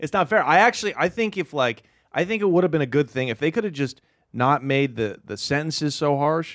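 A man with an American accent and an ordinary speaking voice talks at a fairly quick pace in a fairly high pitch with lively intonation, on a very clean recording with a silent background. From Portland, Oregon. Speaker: stand-up comedian. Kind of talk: casual chat. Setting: studio.

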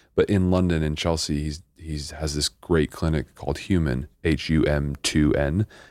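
At a moderate pace, a man speaks in a very deep, low pitch with fairly even intonation, the sound dry and close with no echo. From same hometown as the host. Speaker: mental health coach and interventionist. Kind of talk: casual chat.

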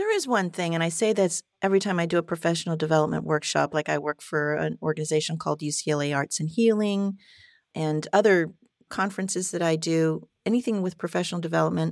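At a very fast pace and with ordinary pitch variation, the voice comes through on a very clean recording with a silent background, its sound dry and close with no echo. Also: woman, fairly low pitch for a woman. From France. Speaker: therapist. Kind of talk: interview.

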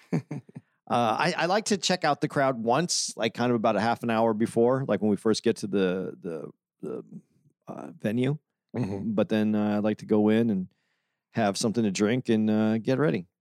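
Recorded very cleanly with a silent background and a dry, close sound with no echo, a man speaks in a normal speaking voice at medium pitch and moderate pace, with lively intonation. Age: 50s. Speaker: podcast co-host. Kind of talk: casual comedic banter.

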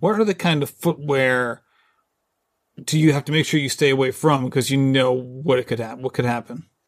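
A man speaks in an ordinary speaking voice at medium pitch and a moderate pace, with ordinary pitch variation, on a very clean recording with a silent background. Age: 40s. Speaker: podcast host. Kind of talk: casual interview.

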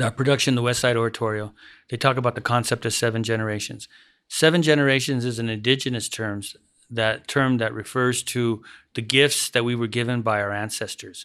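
On a very clean recording with a silent background, a man with an ordinary speaking voice talks fairly quickly at medium pitch with fairly even intonation. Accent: American. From Denver, Colorado. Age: 60s. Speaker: theater director. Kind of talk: interview.

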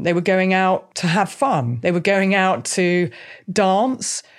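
This is an unremarkable speaking voice at a fairly slow pace. The recording is very clean, with a silent background. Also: woman. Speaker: podcast host and violence researcher. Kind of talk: interview conversation.

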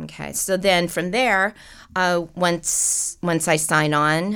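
A woman with an American accent and an unremarkable speaking voice speaks with fairly even intonation in a very clean recording with a silent background. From US West Coast (Los Angeles / Seattle). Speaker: casting director and university professor. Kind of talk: casual interview chat.

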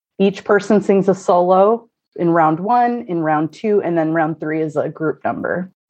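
A woman speaks with a Pacific Northwest accent at a moderate pace. Her voice is medium in pitch with ordinary pitch variation. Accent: general American, Pacific Northwest. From US Pacific Northwest, Oregon (Corvallis). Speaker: true crime podcaster. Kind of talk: casual chat.

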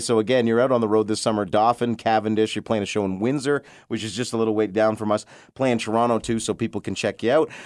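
A man talks at a very fast pace with fairly even intonation. His pitch is medium, and the recording is very clean with a silent background. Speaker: radio host. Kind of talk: casual chat. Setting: studio. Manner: joking.

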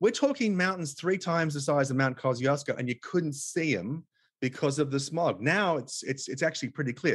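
Against a quiet background, a man with an Australian accent speaks at a moderate pace, somewhat breathy and fairly high-pitched, with ordinary pitch variation. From Australia (Tasmania). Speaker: author and conservationist. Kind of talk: interview conversation. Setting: remote call.

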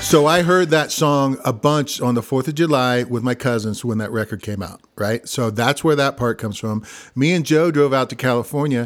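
A man with a normal speaking voice talks at a moderate pace in an American accent, with a medium pitch, ordinary pitch variation and hardly any pauses. The recording is very clean, with a silent background. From Missouri, US. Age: 50s. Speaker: singer-songwriter and guitarist. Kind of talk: casual interview chat.

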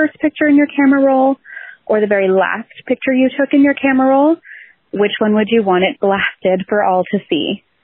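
A plain, everyday voice from a woman with a Canadian accent, lively intonation and a moderate pace. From Canada, Ontario. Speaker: listener caller. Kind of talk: voicemail question. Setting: phone call.

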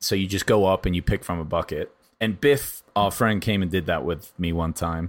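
On a very clean recording with a silent background, a man with a very deep, low pitch talks at a moderate pace with ordinary pitch variation. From England. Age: 30s. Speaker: podcast host. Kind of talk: casual chat.

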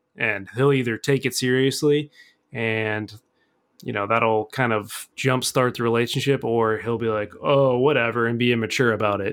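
A man's medium pitch and fairly even intonation, a normal speaking voice in a very clean recording with a silent background. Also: moderate pace. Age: 30s. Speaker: host's boyfriend, co-host for listener-question episodes. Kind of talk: casual chat.

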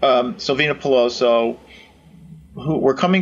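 A man speaks at a moderate pace and a medium pitch. He has an unremarkable speaking voice. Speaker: retired FBI agent and author. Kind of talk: interview.

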